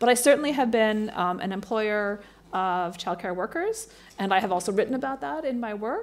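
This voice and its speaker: With an ordinary speaking voice, a woman talks at a moderate pace in a fairly high pitch and lively intonation, recorded very cleanly against a silent background. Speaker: philosophy professor. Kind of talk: panel Q&A answer. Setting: conference with audience.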